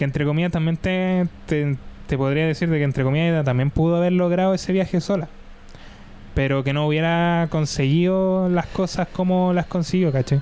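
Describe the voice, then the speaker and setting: Speaking in a Chilean accent, a man uses a high pitch, fairly even intonation, very even loudness and a moderate pace. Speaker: podcast host. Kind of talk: casual chat.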